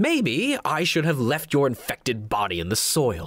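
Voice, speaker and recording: A man's put-on character voice at medium pitch, on a very clean recording with a silent background. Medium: read story. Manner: sneering, menacing, contemptuous.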